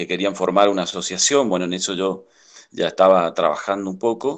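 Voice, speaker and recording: This man's pitch is very deep and low. It shows ordinary pitch variation. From Chaco, Argentina (Villa Ángela). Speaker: industrial technician, community water project worker. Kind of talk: interview. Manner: halting.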